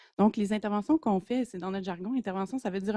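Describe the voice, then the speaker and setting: With a dark, mellow tone, a woman speaks at a medium pitch and fairly even intonation, in a dry, close sound with no echo and a very clean recording with a silent background. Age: 30s. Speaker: community organization researcher. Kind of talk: conference presentation. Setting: conference room with audience. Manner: hesitant, many filler sounds.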